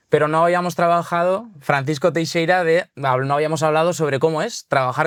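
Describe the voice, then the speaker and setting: In a Basque accent, a man speaks at a fairly quick pace in a fairly high voice. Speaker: podcast host, content director. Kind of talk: casual podcast interview.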